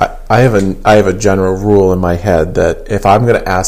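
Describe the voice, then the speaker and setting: The speech runs at a very fast pace over noticeable background noise. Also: man. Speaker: golf guest. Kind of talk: casual chat.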